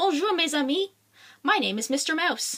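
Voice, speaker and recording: Raising and projecting her voice, a woman speaks at an extremely high pitch and a moderate pace. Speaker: children's book author and illustrator. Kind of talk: read-aloud children's picture book. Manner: casual, unrehearsed.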